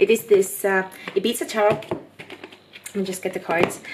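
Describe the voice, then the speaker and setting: Someone with a non-native accent speaks with ordinary pitch variation over noticeable background noise. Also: woman. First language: not English. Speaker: tarot reader. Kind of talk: tarot reading monologue. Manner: casual, hesitant with fillers.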